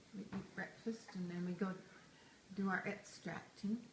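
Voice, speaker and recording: A woman speaks fairly slowly at a medium pitch with fairly even intonation. Room echo and noticeable background noise can be heard. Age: 70s. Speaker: retired grandmother interviewed by family. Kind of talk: casual family interview.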